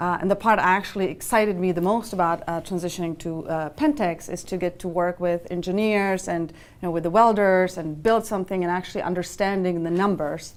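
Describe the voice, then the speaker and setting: A woman talks at a fairly quick pace, her intonation fairly even. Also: medium pitch for a woman. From Czech Republic. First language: Czech. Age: 30s. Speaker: finance executive. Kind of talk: interview. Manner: halting, many fillers.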